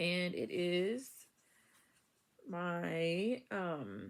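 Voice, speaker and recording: A woman speaks quietly. Her pitch is fairly low. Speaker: knitting podcaster. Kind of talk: casual chat. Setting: bedroom at home. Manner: halting, many fillers.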